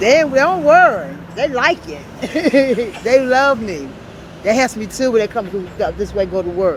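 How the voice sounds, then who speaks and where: Amid noticeable background noise, a woman with a fairly high pitch talks at a moderate pace, with very wide pitch swings, big swings in loudness and long, frequent pauses. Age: 60s. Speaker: homeless woman interviewed on the street. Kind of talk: street interview.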